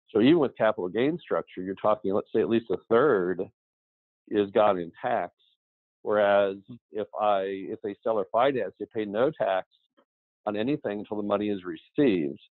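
A man at a fairly low pitch and moderate pace, with ordinary pitch variation and long, frequent pauses, in a dry sound with no echo against a quiet background. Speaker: real estate investor. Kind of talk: interview. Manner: conversational. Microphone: video call.

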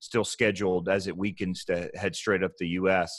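With a very deep, low pitch, a man speaks at a moderate pace in monotone, flat intonation, the sound dry with no echo and the background quiet. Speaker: podcast co-host. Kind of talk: podcast discussion. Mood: earnest, reflective. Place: home room. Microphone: earbuds.

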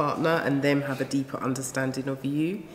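Against light background noise, a woman speaks with a very deep, low pitch and fairly even intonation. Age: 40s. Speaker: relationship counsellor; guest. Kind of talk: casual chat. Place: studio. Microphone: studio mic.

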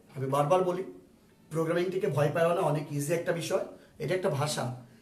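A man speaks in an animated tone, with noticeable background noise and audible room echo around him. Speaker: ICT teacher. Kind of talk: online lecture. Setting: home drawing room, live stream.

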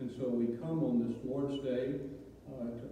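A man at a fairly slow pace, monotone and flat, with strong room echo and light background noise. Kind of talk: public prayer. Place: church.

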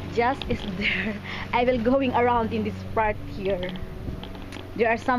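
A woman speaks at a very slow pace. The sound is dry with no echo, over light background noise. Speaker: vlogger. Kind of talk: casual vlog chat. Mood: cheerful, laughs. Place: garden. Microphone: phone near.

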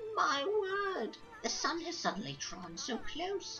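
A female-sounding voice uses a put-on character voice at an extremely high pitch, speaking at a fairly slow pace. Clear music plays in the background. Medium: game stream. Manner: warm, fussy, delighted.

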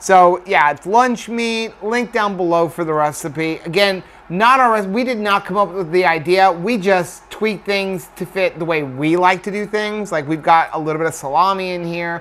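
A man with a high pitch talks with hardly any pauses. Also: ordinary pitch variation, moderate pace. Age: 40s. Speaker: vlogger. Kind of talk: casual vlog chat. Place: kitchen. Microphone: phone near.

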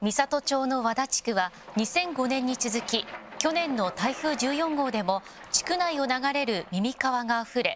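Using lively intonation, a woman with a high pitch speaks at a moderate pace. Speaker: news narrator. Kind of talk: TV news narration.

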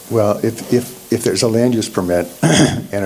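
A man's ordinary pitch variation comes through with noticeable background noise. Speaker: township planning staff. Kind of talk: public meeting discussion. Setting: township planning commission meeting.

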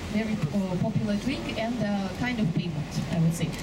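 The speech moves at a fairly quick pace with loud background noise throughout. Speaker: tour guide. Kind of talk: live guided boat-tour narration pointing out passing sights to tourists. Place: boat.

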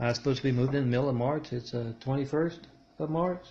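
A man with a somewhat breathy voice speaks at a fairly quick pace. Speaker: video blogger. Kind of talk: casual vlog chat. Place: home room. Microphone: phone near.

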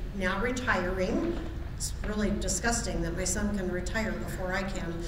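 A woman talks with audible room echo and noticeable background noise. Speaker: lay minister. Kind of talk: sermon. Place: church. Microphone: podium.

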